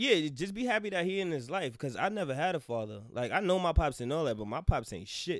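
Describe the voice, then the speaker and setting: This man's voice sits fairly high and swings very widely in pitch. He talks very fast with hardly any pauses. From US Northeast, Harlem, New York City. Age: 30s. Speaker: podcast guest. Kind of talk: casual chat. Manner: animated.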